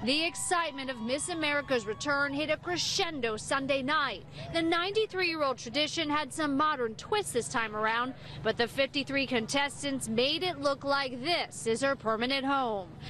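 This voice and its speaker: Amid noticeable background noise, a raised, projected voice keeps a moderate pace with hardly any pauses, very even loudness and ordinary pitch variation. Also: woman, high pitch for a woman. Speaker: TV news reporter. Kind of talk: live TV news field report. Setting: outdoors.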